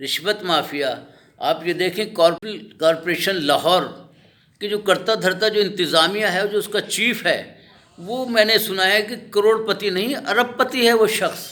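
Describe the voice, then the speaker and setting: Raised and projected, a man's voice rings out at a high pitch with ordinary pitch variation. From Pakistan, Lahore. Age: 70s. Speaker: local citizen interviewee. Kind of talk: street interview complaint. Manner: impassioned.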